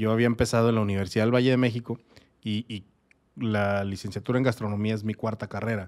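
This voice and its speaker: A man speaks at a very fast pace in a fairly low voice, his intonation monotone and flat. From Mexico, Torreón, Coahuila. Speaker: craft brewer. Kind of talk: casual interview. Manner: halting.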